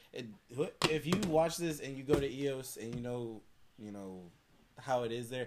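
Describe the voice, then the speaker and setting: With an American accent, a man of medium pitch speaks with long, frequent pauses and big swings in loudness, and the room echo is audible. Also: ordinary pitch variation, moderate pace. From Michigan, near Detroit. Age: 20s. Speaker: podcast guest. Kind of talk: casual chat.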